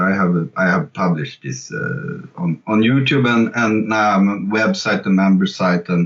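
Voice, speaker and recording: Speaking at a fairly slow pace with lively intonation, a man with a Swedish accent uses a fairly low pitch over noticeable background noise. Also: hardly any pauses. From Sweden. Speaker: jazz fusion guitarist and online guitar teacher. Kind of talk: interview. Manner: halting, many fillers and repetitions.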